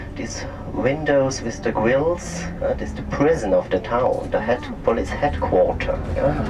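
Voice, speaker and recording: The speaker has an Austrian accent and a fairly slow pace, with noticeable background noise. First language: German. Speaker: tour guide. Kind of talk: guided tour commentary. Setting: on a coach tour. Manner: halting.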